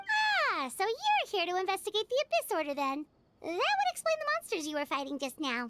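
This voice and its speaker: A woman's put-on character voice, squeaky and energetic, at an extremely high pitch with very wide pitch swings and a fairly quick pace. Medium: game stream. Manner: energetic, expressive.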